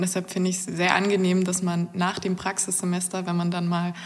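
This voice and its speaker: A woman with a medium pitch keeps a moderate speed while background noise stays noticeable. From Germany, northeastern Brandenburg. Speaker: engineering master's student. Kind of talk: interview about her studies.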